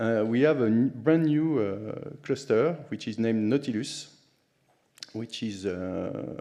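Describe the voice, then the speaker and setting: A man with a French accent speaks at a fairly slow pace, his tone dark and mellow and his pitch varying in an ordinary way. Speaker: conference speaker, HPC sysadmin. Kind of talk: conference talk. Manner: halting, many fillers.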